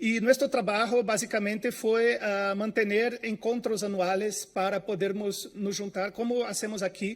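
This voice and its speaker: Speaking in a Brazilian accent, a man talks at a fairly slow pace with a high pitch, a monotone, flat intonation and hardly any pauses, on a very clean recording with a silent background. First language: Portuguese (speaking Spanish). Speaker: information science researcher. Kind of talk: conference talk. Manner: halting, many fillers.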